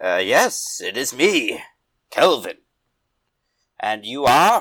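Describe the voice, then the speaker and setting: In a raspy, put-on character voice, a man speaks at a very slow pace. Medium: actual play. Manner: slow, plain, stilted.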